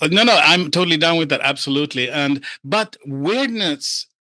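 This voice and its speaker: A man speaks at a fairly quick pace with a Scandinavian accent, his bright, sharp tone and lively intonation caught in a dry, close recording with no echo. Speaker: render expert and AI experimenter. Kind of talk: casual interview chat. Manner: animated.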